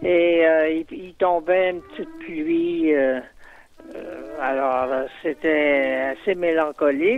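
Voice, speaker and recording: Fairly high in pitch, a man speaks at a very slow pace with ordinary pitch variation. His loudness swings widely, with music in the background. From Quebec, Salaberry-de-Valleyfield. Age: 70s. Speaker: poet. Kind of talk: interview recollection. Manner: halting, repeats words.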